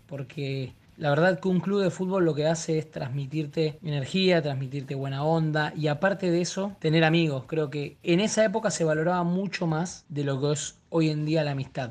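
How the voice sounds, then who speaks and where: A normal speaking voice at a moderate pace, fairly even intonation, hardly any pauses. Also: man, fairly high pitch for a man. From Argentina. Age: 30s. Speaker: actor. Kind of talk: casual interview.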